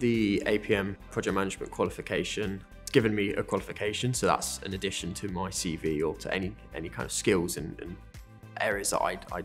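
Faint music plays underneath as a man speaks fairly quickly. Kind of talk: interview answer. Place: office. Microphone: lapel.

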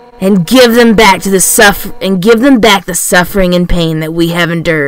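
In an unforced reading voice, the speaker uses ordinary pitch variation.

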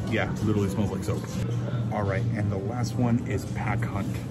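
Music plays in the background as a man speaks with ordinary pitch variation. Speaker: theme park vlogger. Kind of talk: casual vlog chat. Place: shop. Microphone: phone near.

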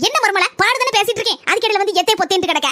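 A woman speaks at a very fast clip in a cartoonish character voice, her pitch extremely high and her loudness very even throughout. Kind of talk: cartoon comedy acting. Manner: chatty, gossipy.

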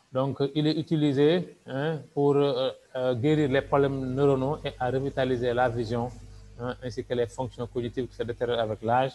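A man with a plain, everyday voice and medium pitch talks at a moderate pace, with big swings in loudness. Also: fairly even intonation. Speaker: doctor and business presenter. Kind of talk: sales pitch.

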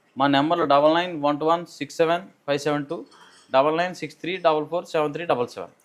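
His voice sits fairly high for a man. The delivery stays flat and monotone. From East Godavari, Andhra Pradesh. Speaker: dairy farmer. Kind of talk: interview.

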